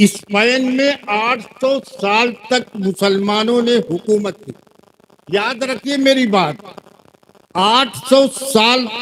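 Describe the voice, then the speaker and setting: The man's speech shows ordinary pitch variation. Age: 70s. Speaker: Islamic cleric and madrasa teacher. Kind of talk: religious speech at mosque fundraising gathering. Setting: seated before a live gathering. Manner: less forceful than when young.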